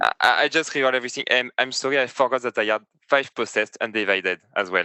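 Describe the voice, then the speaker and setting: Very fast and very even in loudness, a man with a French accent talks at a medium pitch with ordinary pitch variation. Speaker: competitive tabletop game player. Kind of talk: casual chat. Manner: halting.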